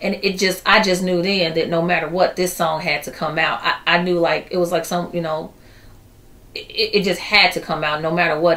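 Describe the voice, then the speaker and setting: A woman with an American accent talks with monotone, flat intonation, a fairly low pitch and a moderate pace. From Chicago inner city. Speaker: poet and singer; poet. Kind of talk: interview. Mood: earnest, calm. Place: office.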